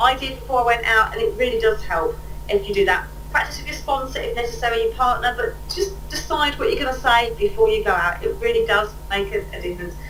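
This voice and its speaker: Noticeable background noise and audible room echo surround a woman who talks at a very fast pace. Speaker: catalogue sales trainer. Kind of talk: webinar training. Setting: webinar.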